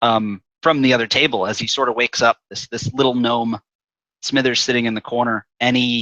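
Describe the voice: Fairly even intonation in plain reading aloud, with a quiet background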